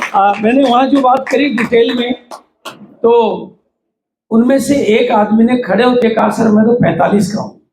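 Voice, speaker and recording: With fairly even intonation, a man talks at an extremely high pitch. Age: 70s. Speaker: network marketing trainer. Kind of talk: workshop talk.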